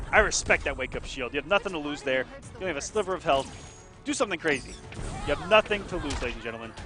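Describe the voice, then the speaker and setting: Over music in the background, a man with a high pitch talks very fast in an animated tone, his pitch swinging very widely. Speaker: esports commentator. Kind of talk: live commentary.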